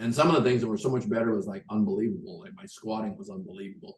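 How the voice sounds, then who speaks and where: This man's voice is somewhat breathy, and his pitch swings very widely. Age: 70s. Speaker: client giving health testimony. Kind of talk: testimony.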